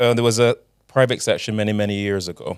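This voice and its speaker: A man with a Barbadian accent. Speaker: carnival costume designer. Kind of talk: casual chat.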